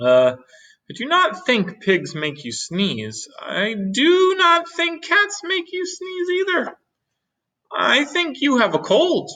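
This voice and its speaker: A put-on character voice comes through at a high pitch and a very slow pace. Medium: read story. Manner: calm, matter-of-fact.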